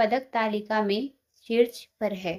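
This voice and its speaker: A woman's voice with a fairly high pitch. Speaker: quiz tutor for exam preparation. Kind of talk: reading out quiz questions and answers. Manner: halting while reading.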